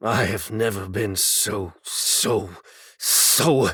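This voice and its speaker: A man puts on a raspy character voice, fairly low in pitch. He speaks at a very slow pace. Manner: pathetic, whiny.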